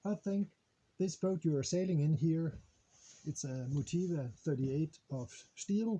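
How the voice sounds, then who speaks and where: At a very slow pace, a man with a non-native accent speaks in a dark, mellow tone that is somewhat breathy. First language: Danish. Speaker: sailing vlogger. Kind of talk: casual vlog. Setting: on a boat in harbor, outdoors. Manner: halting, many fillers.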